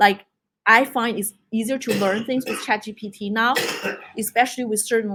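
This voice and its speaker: A woman speaks with a non-native accent in a fairly high voice and fairly even intonation. The recording is very clean, with a silent background. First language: not English. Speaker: tech speaker. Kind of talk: presentation.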